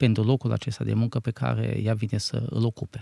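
A man's dark, mellow voice at a moderate pace, dry and close with no echo, on a very clean recording with a silent background. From Romania, Maramureș region. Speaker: church minister and bakery manager. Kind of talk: interview.

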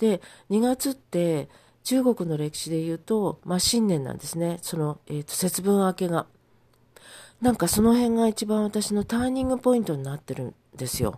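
A woman's dark, mellow voice with very wide pitch swings at a moderate pace, on a very clean recording with a silent background. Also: medium pitch for a woman. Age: 70s. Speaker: podcaster and mental support counselor. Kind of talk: casual solo monologue.

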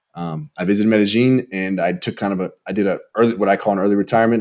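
In a very clean recording with a silent background, a man with a fairly low voice talks at a very fast pace with fairly even intonation. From Texas, Houston suburbs. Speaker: travel content creator. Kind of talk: casual chat.

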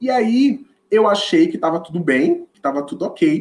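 At a moderate pace, a man with a northeastern Brazilian accent talks with very wide pitch swings. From Olinda, Pernambuco, northeast Brazil. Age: 20s. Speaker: educator. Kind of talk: podcast interview.

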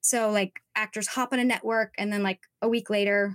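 Fairly high in pitch, a woman with an American accent has a plain, everyday voice, heard in a dry, close sound with no echo. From Southern California (Orange County). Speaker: social media coach for actors. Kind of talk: interview.

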